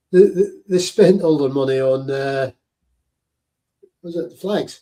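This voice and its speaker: A man with a Scottish accent speaks at a fairly slow pace in a fairly high pitch. His tone is dark and mellow, with ordinary pitch variation. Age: 60s. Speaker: veteran podcast host. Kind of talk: live commentary. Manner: halting.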